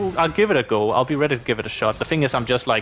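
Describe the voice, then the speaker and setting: A man talks over noticeable background noise. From Denmark. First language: Danish. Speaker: gaming YouTuber. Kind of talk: casual Q&A monologue. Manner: casual, halting with fillers.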